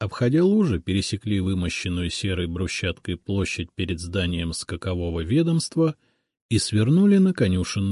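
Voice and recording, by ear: Reading aloud in a natural voice, against a quiet background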